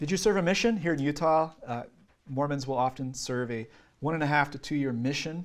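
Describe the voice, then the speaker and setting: A man speaks at a fairly quick pace with ordinary pitch variation. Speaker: trainer. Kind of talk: lecture. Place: classroom. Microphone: camera far.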